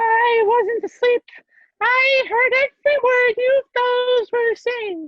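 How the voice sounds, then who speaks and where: A woman in a put-on character voice, squeaky and pitched extremely high, speaking at a fairly slow pace. Her intonation stays fairly even and her loudness very even. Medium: stage play. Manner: slow, sleepy.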